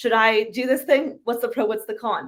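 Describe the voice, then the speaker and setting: A woman's animated, fairly high voice at a fairly quick pace. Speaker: carnivore diet influencer. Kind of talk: podcast interview. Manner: fast.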